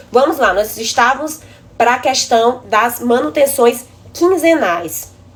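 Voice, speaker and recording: A woman's high-pitched voice with lively intonation over noticeable background noise. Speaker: building inspection engineer. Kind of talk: live stream presentation. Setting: live stream.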